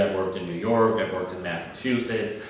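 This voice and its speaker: A man of medium pitch talks in a Northeastern US accent with ordinary pitch variation, with audible room echo and noticeable background noise in the recording. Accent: Northeastern US, drops R's. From US Northeast. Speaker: sales podcast host and sales trainer. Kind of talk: solo podcast monologue.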